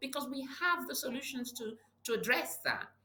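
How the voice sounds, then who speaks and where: A woman talks at a moderate pace. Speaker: public health advocate. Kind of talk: interview. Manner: halting.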